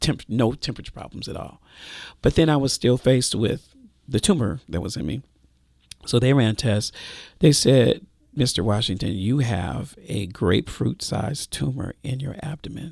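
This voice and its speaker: With vocal fry and lively intonation, a man speaks at a medium pitch and moderate pace, his loudness swinging widely in a very clean recording with a silent background. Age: 50s. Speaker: pastor. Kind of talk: testimony.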